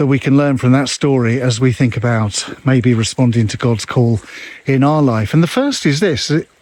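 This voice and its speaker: There is noticeable background noise as a man talks at a moderate pace, medium in pitch with ordinary pitch variation. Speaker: pastor. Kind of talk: devotional talk. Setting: outdoors, walking in hills.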